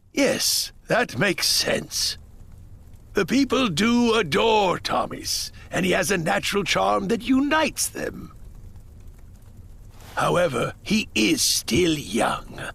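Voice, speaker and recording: A man's put-on character voice, high in pitch, at a fairly slow pace with long, frequent pauses. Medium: game stream. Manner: formal, measured.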